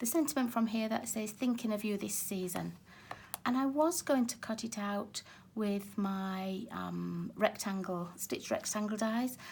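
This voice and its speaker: Her pitch fairly high, a woman talks at a fairly slow pace with ordinary pitch variation. Her voice is somewhat breathy. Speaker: card-making crafter. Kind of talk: craft tutorial talk to camera.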